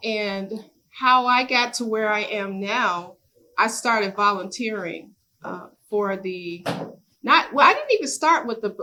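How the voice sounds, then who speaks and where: Speaking fairly slowly, a woman with an unremarkable speaking voice has a fairly high pitch and ordinary pitch variation. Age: 60s. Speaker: business owner and community leader. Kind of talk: workshop sharing.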